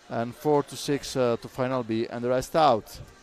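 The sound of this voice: A man talks at a fairly slow pace in a clear, smooth tone. His pitch sits at a medium level.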